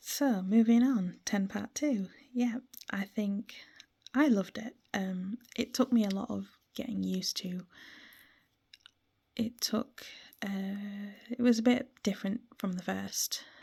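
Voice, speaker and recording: A woman speaks very slowly at a medium pitch, somewhat breathy, with a dark, mellow tone. Her intonation is fairly even, and she pauses long and often. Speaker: gaming vlogger. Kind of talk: casual monologue about a video game. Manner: frequent ums and hesitations.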